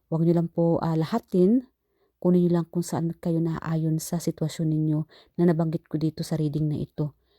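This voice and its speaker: Soft-spoken and fairly quick, the voice has a dark, mellow tone and a monotone, flat intonation. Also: woman. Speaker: tarot reader. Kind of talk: tarot reading. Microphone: not using her microphone, quiet.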